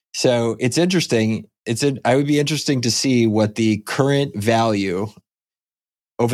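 The recording is very clean with a silent background, capturing a man with an unremarkable speaking voice. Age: 40s. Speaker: podcast host. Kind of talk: casual chat.

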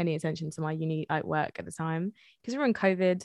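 The speaker has an English Midlands accent. Pitch varies in an ordinary way. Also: woman. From England, Leicester. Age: 20s. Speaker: music artist and producer. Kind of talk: interview.

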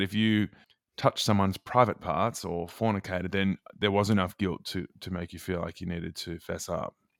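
Speaking at a fairly quick pace, a man with an Australian accent has a fairly low pitch and ordinary pitch variation. The recording is very clean, with a silent background, and sounds dry and close with no echo. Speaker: author and former youth radio host. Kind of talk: interview.

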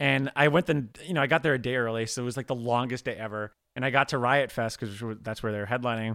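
A man's bright, sharp voice at a very fast pace, with ordinary pitch variation. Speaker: podcast host. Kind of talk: casual chat. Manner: animated.

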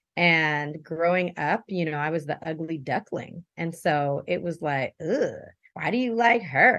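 A woman's fairly low voice at a very slow pace, with lively intonation and hardly any pauses. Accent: American. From Japan, American military family. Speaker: entrepreneur. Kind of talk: interview.

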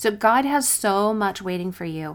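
In a very clean recording with a silent background, a woman with an unremarkable speaking voice talks at a fairly slow pace and medium pitch. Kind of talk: fervent prayer, spoken aloud to God in first person; devotional teaching, scripted intro. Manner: earnest, heartfelt, reverent; warm, encouraging.

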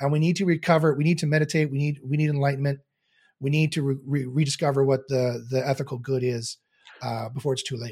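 Somewhat breathy, a man with a Canadian accent talks at a very fast pace with fairly even intonation. The recording is very clean, with a silent background. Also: fairly high pitch for a man. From Canada. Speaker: philosopher and SEO teacher. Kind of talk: guided meditation; interview conversation. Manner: halting, repeats words.

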